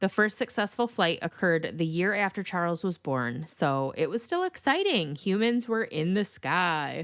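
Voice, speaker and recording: With hardly any pauses, a woman at medium pitch talks with lively intonation and very even loudness. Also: moderate pace. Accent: Michigan. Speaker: true crime podcast host. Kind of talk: podcast narration. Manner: casual, conversational.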